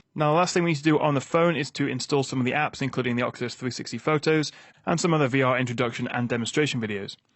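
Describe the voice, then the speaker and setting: Talking at a very fast pace, a man speaks with a British accent. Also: medium pitch for a man, ordinary pitch variation. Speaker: tech reviewer. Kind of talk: product review and setup tutorial.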